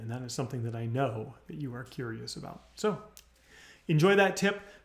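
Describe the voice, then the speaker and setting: Somewhat breathy speech from a man. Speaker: business coach. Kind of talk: livestream tutorial. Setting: live video stream. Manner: fast; animated.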